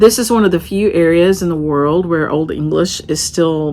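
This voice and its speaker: Lively intonation comes through in an American accent at a moderate pace. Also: woman. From western North Carolina mountains. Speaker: craft vlogger and shop owner. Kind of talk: casual vlog talk. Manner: conversational.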